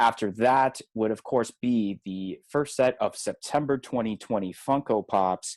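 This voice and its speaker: Recorded dry and close with no echo, a man speaks at a medium pitch and a fairly slow pace, with ordinary pitch variation. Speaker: podcast co-host. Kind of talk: casual podcast chat.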